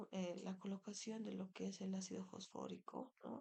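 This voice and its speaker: A woman with vocal fry talks at a fairly slow pace, her medium pitch rising and falling with lively intonation. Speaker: dentistry lecturer. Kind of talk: lecture. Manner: halting, many fillers.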